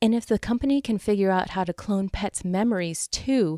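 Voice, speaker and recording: Here is a woman with a plain, everyday voice, speaking at a moderate pace. Her pitch varies in an ordinary way, and the sound is dry and close with no echo. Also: very clean recording, silent background. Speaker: podcast host. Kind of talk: podcast news segment read with humor.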